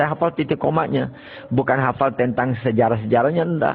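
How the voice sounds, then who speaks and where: A man talks with ordinary pitch variation. There is noticeable background noise behind him. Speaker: Islamic cleric and boarding school founder. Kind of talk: life story interview.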